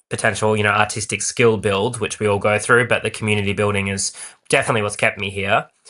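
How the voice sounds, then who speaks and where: Against a quiet background, a man speaks at medium pitch. His tone is bright and sharp. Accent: Australian. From Australia, Perth. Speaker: actor and playwright. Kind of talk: podcast interview. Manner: animated.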